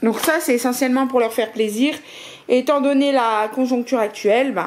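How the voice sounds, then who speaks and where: A woman with a high pitch and ordinary pitch variation talks over light background noise. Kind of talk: casual vlog chat. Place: home room. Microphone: phone near.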